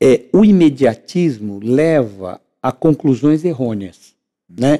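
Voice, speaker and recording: A man's fairly high voice, dark and mellow in tone, with lively intonation and a dry, close sound free of echo. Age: 60s. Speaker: civil engineer and entrepreneur. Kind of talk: podcast interview. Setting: podcast recorded on location.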